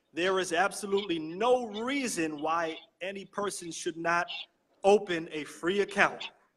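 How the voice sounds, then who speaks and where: Loud and high-pitched, a man talks at a fairly slow pace with ordinary pitch variation. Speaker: network marketing promoter. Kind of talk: sales pitch. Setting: live stream from a library.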